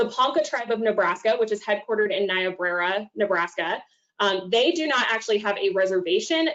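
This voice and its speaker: With a slight Oklahoma accent, a woman speaks at a fairly high pitch with ordinary pitch variation. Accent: slight Oklahoma twang. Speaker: domestic violence outreach coordinator. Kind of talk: presentation talk. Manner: frequent fillers (um).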